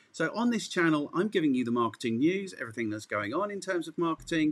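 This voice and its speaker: Speaking very fast in an English accent, a man uses a fairly high pitch with very wide pitch swings. The recording is very clean with a silent background. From England. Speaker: marketing podcast host. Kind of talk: podcast interview.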